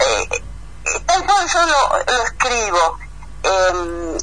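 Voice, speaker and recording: There is noticeable background noise as this woman speaks. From Argentina, Entre Ríos. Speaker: agronomist, letter writer. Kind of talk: interview.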